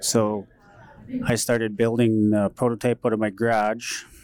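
A man's flat, monotone delivery at medium pitch, dark and mellow in tone. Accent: western Canadian. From northern Alberta, Canada (Métis settlement). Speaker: entrepreneur and inventor, former welder. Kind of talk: interview. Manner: halting, with fillers.

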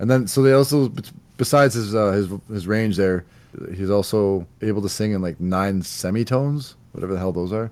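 Talking at a fairly quick pace in a normal speaking voice, a man with a Canadian accent has a fairly low pitch and ordinary pitch variation. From Canada. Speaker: podcast host. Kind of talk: casual chat about music. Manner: casual, laughs often.

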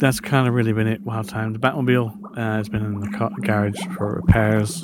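A man talks fairly quickly at a medium pitch while noticeable background noise carries on behind him. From Europe. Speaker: listener contributor. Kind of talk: recorded voice message. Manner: rambling.

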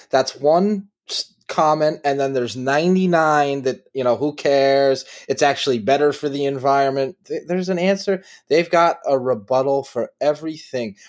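A man with a fairly high pitch uses an ordinary speaking voice, moving at a moderate pace with ordinary pitch variation. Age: 30s. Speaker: podcast host. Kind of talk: casual chat.

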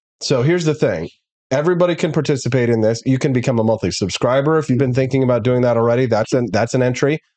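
Speaking at a very fast pace, a man with a medium-pitched, dark, mellow voice keeps his loudness very even and his pitch variation ordinary against a quiet background. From Missouri (rural, Peculiar). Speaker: talk show host. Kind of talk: casual talk show. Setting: studio.

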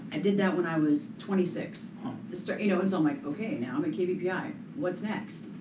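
A woman with an American accent, medium pitch, moderate pace and lively intonation, over noticeable background noise. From Colorado, US. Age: 40s. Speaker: real estate agent and radio/TV broadcaster. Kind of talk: interview.

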